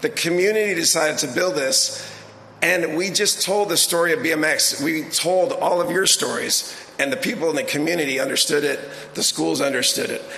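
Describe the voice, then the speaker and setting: With an American accent, the speaker talks at a fairly quick pace with very even loudness and ordinary pitch variation, amid audible room echo and noticeable background noise. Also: man, high pitch for a man. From Southern California. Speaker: sports organization executive. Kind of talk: ceremony speech.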